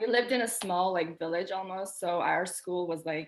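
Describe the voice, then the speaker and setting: A woman speaks at a fairly slow pace, her medium-pitched voice showing ordinary pitch variation. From Albania, moved to US at ten. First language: Albanian. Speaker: pharmacy student. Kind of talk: casual chat.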